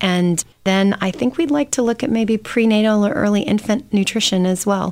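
In a very clean recording with a silent background, a woman speaks in an ordinary speaking voice at a medium pitch and moderate pace, with ordinary pitch variation. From Michigan. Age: 40s. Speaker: startup CEO. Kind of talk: interview.

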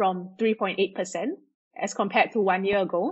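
A woman talks at a fairly slow pace. Her voice comes across as somewhat breathy. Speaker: economist and data scientist. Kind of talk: interview answers.

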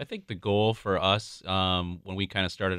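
In an American accent, a man with a very deep, low pitch talks at a moderate pace. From Minnesota, suburb of Saint Paul. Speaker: restaurant regional director and youth baseball parent. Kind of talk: radio interview. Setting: studio.

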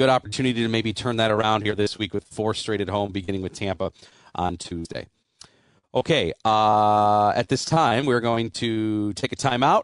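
Against a quiet background, a man talks at a moderate pace with ordinary pitch variation, the sound dry and close with no echo. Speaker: radio host. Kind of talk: postgame radio show hosting, play-by-play recap of the game's key moments. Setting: studio.

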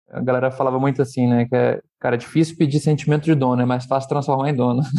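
A man speaks at a very fast pace in a dark, mellow tone, his intonation monotone and flat. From Brazil, Rio de Janeiro. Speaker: startup founder and CEO. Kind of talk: casual podcast interview. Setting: studio.

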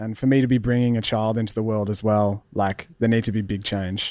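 A man speaks fairly quickly at a medium pitch with an Australian accent. His intonation is fairly even, and the recording is very clean with a silent background. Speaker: musician. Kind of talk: interview.

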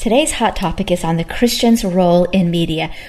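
A woman speaks at a fairly quick pace in an ordinary speaking voice. Her pitch is medium, with ordinary variation. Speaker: talk show host. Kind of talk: panel discussion. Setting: studio with audience.

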